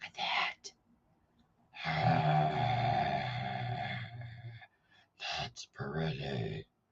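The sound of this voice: In a put-on character voice, a man growls out a raspy, very deep, low pitch that makes very wide pitch swings.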